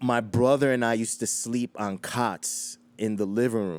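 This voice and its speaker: A man talks in a New York accent. His pitch is medium and his pace moderate. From Queens, New York City. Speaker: hip hop DJ. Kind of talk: interview storytelling.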